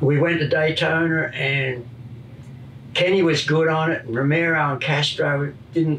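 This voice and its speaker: A man with an Australian accent speaks at a fairly high pitch and a moderate pace. His intonation is fairly even, with light background noise. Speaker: retired motorcycle racer and crew chief. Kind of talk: casual chat.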